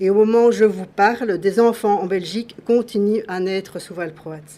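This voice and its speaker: With a dark, mellow tone, a woman speaks at a medium pitch and a moderate pace, her intonation fairly even and her loudness swinging widely. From Belgium. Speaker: patient advocate. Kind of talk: formal statement at public hearing. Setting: public hearing. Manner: formal.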